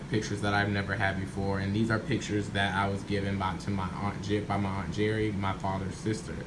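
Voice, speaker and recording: Fairly quick, fairly even speech with audible room echo and noticeable background noise. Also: man. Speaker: family history vlogger. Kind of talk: casual vlog monologue. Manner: halting, with many fillers and restarts.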